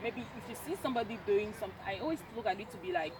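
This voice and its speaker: A woman speaking at a very fast pace with lively intonation, over noticeable background noise. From French-speaking Cameroon. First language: French. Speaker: university student. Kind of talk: casual chat. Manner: halting.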